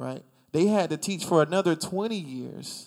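This is a man speaking. His pitch is high. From rural South Carolina. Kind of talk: casual chat.

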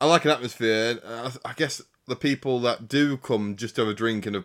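In a normal speaking voice, a man varies his pitch in an ordinary way. His pace is fairly quick. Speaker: racing podcast co-host. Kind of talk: casual banter podcast. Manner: chatty, informal.

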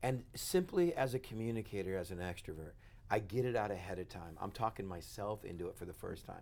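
Delivered at a very fast pace, the speech has an animated tone, lively intonation and big swings in loudness. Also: man, fairly low pitch for a man. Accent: American. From West Texas. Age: 40s. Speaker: pastor. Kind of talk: casual interview. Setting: studio with cameras.

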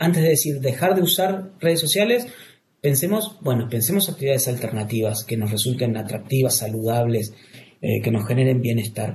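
There is audible room echo around a man with a medium-pitched, somewhat breathy voice. His intonation is lively. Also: fairly quick pace. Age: 40s. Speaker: clinical psychologist. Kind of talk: interview. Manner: halting, with repetitions.

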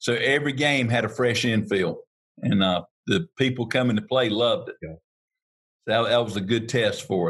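A man with a North Carolina accent, medium pitch, ordinary pitch variation and a moderate pace. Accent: US Southern (North Carolina). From North Carolina, Harnett County. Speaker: turf equipment dealer. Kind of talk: interview.

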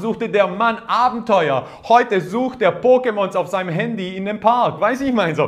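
A man speaks with a high pitch and ordinary pitch variation. His tone is animated. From Croatian background. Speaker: pastor. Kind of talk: sermon.

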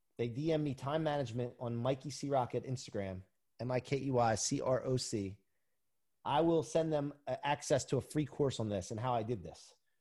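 On a very clean recording with a silent background, a man speaks at a fairly quick pace in an energetic, somewhat breathy voice of medium pitch with ordinary pitch variation. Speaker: performance coach and motivational speaker. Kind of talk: interview.

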